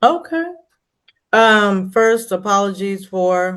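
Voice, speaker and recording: A woman talks with a Texas accent. Her pace is very slow. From Texas, Dallas. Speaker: moderator. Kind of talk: virtual town hall moderation. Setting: video call.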